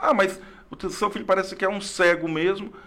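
A man speaks in a high pitch over noticeable background noise. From Brazil, Acre (Rio Branco). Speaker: history teacher and school principal. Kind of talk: interview conversation.

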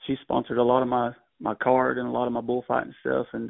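A man with a Texan accent talks at a very fast pace. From Texas. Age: 40s. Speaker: rodeo bullfighter. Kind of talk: interview.

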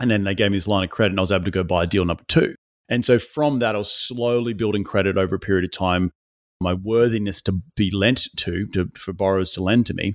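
Talking very fast in a fairly low voice, a man with an Australian accent keeps his intonation fairly even on a very clean recording with a silent background. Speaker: real estate investor. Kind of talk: interview.

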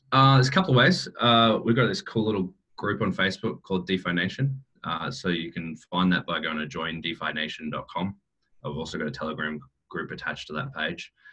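A man with an Australian accent talks at a fairly quick pace in a very deep, low voice that has a bright, sharp tone and lively intonation. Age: 30s. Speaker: cryptocurrency entrepreneur. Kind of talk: interview. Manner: frequent fillers and repetitions.

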